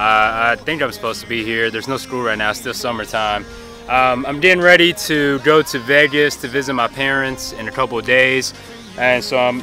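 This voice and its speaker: With clear music in the background, a man speaks at a moderate pace with ordinary pitch variation, in a dry sound with no echo. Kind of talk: casual vlog tutorial. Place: open country. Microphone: phone near.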